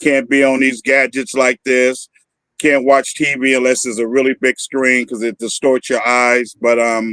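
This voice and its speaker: Speaking at a moderate pace and medium pitch, a man with an American accent has a bright, sharp tone and flat, monotone intonation in a dry, close sound with no echo. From Northern California. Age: 60s. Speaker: activist. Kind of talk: interview.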